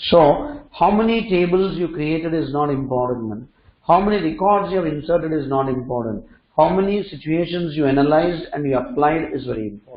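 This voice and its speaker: Fairly quick and with lively intonation, the speaker has a plain, everyday voice. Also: man, fairly high pitch for a man. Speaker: programming instructor. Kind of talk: lecture.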